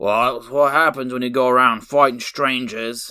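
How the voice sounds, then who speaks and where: Putting on a character voice, a man speaks at a moderate pace and medium pitch with fairly even intonation and big swings in loudness. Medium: read story. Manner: gruff, blustering.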